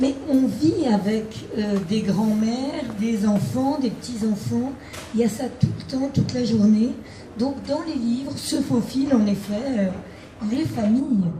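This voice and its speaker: Against noticeable background noise and audible room echo, a woman speaks at a fairly high pitch and a very slow pace, with long, frequent pauses. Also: ordinary pitch variation. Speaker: novelist, former emergency doctor. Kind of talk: live author interview.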